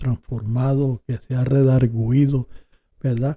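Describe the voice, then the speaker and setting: A man speaks at a very slow pace in a dark, mellow, somewhat breathy tone. His intonation is monotone and flat, and the sound is dry and close with no echo. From Colombia. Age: 60s. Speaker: preacher. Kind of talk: interview.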